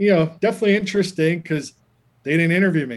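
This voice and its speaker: Speaking with a plain, everyday voice, this man sits fairly high in pitch and varies it in an ordinary way. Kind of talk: casual interview. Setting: video call.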